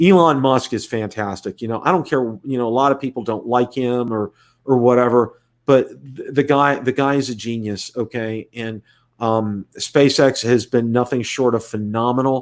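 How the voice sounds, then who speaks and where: Recorded very cleanly against a silent background, a man talks at a moderate pace with an American accent. His medium-pitched delivery keeps a fairly even intonation. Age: 60s. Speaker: YouTube drone reviewer. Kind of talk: live stream casual talk. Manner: halting, many repetitions.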